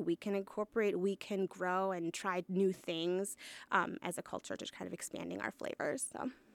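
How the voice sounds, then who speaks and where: In a plain, everyday voice, a woman speaks at a medium pitch and a moderate pace. The sound is dry and close with no echo, on a very clean recording with a silent background. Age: 30s. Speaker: food truck owner. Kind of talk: interview.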